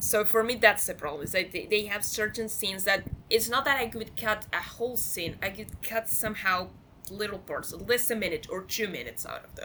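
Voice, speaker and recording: A woman with a non-native accent talks fairly quickly at a fairly high pitch, with ordinary pitch variation and big swings in loudness. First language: not English. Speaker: film podcast guest. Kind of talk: casual chat. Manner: halting, repeats words.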